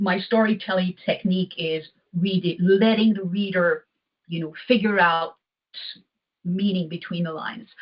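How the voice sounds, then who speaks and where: A woman with a French accent speaks at medium pitch and a moderate pace. Her somewhat breathy voice has ordinary pitch variation. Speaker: poet and author. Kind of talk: interview.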